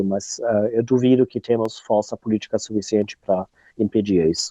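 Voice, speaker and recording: A man with a non-native accent at a moderate pace, intonation fairly even. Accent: foreign accent in Portuguese. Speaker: researcher and activist. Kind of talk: interview. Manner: halting, many hesitations.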